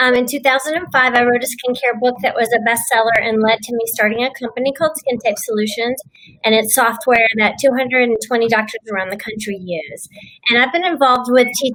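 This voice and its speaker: Speaking at a fairly quick pace with a Texan accent, the woman keeps her fairly high pitch and fairly even intonation. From Texas. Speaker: dermatologist and business owner. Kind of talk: panel discussion.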